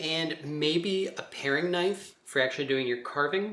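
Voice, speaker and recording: A man speaks in a relaxed tone. His fairly high pitch moves with ordinary variation. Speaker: art teacher. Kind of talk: craft tutorial demonstration. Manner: casual, relaxed.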